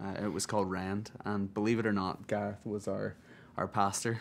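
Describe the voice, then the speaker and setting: This man speaks with an Irish accent. His pitch is fairly low. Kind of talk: interview. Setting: music awards event.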